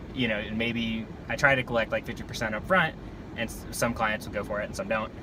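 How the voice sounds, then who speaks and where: A man of medium pitch talks fairly quickly with ordinary pitch variation as noticeable background noise fills the recording. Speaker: vlogger and real estate photographer. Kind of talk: casual driving vlog monologue. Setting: in a car. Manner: fast.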